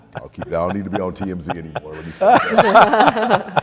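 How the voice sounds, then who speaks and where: A man talks at a moderate speed, with background noise clearly audible behind him. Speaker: voice actor. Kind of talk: interview answer. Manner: speech impediment.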